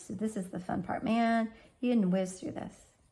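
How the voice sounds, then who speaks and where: A woman's fairly high, somewhat breathy voice. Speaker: art teacher. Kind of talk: tutorial.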